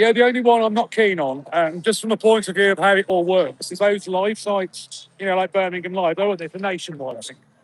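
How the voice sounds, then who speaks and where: A man with a West Midlands accent speaks at a fairly quick pace in a high pitch. His pitch variation is ordinary, and the sound is dry and close with no echo. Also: hardly any pauses. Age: 40s. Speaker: live streamer and protest organiser. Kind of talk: live stream street chat. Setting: outdoors at a protest outside a hotel. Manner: loud, shouting.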